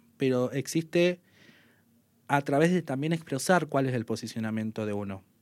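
This man has an ordinary speaking voice, pitched fairly high, with lively intonation on a very clean recording with a silent background. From northern Argentina, Salta province. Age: 30s. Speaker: sports journalist and radio commentator. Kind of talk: casual interview.

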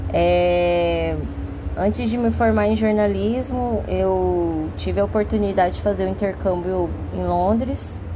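A woman's very deep, low voice at a fairly slow pace with fairly even intonation, with audible room echo and noticeable background noise. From Brazil, Cuiabá, Mato Grosso. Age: 30s. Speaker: podcast host and artist. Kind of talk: casual monologue. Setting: home. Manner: hesitant, many fillers.

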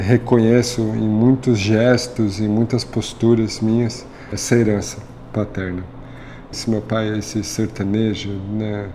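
Against noticeable background noise, a man speaks at a very slow pace in a fairly low pitch with monotone, flat intonation. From São Paulo, Brazil (north zone, northeastern family). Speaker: chef. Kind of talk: interview. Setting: restaurant.

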